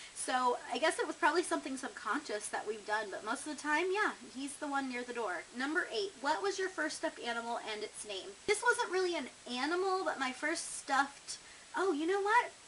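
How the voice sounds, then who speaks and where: Over noticeable background noise, a woman speaks in a high pitch with very wide pitch swings. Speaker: vlogger. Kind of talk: casual vlog, tag questions. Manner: chatty, with filler words.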